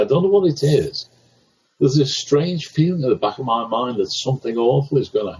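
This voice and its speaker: The speaker's intonation is lively and somewhat breathy. The pace is moderate. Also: man. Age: 70s. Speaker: stadium announcer. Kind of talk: interview. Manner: halting.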